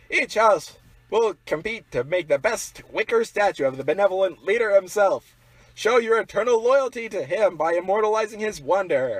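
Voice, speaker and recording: In a put-on character voice, a man speaks at a high pitch and a moderate pace. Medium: audio drama. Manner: dry, exasperated.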